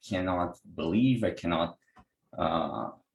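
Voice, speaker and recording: Music plays in the background. A man with a Brazilian Portuguese accent speaks at a fairly low pitch. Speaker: energy healer and software engineer. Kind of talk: online class presentation. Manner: halting, many repetitions.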